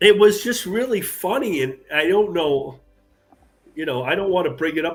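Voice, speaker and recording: A man talking at a fairly quick pace with lively intonation, music in the background. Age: 60s. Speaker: comic artist. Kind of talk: casual chat.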